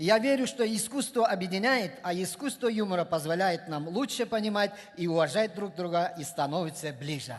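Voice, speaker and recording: A man with a Kyrgyz accent. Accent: Kyrgyz accent in Russian. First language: Kyrgyz (speaking Russian). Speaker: comedian. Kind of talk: stand-up. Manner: halting.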